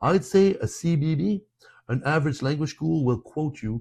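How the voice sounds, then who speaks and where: A man's dark, mellow, somewhat breathy voice with lively intonation at a moderate pace. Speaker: French teacher. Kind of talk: sales pitch. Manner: animated.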